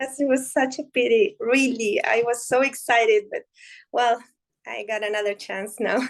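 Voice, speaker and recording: Speaking at a moderate pace, a woman with a Spanish accent has a high pitch. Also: fairly even intonation. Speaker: Spanish teacher. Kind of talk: casual chat. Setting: video call. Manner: halting.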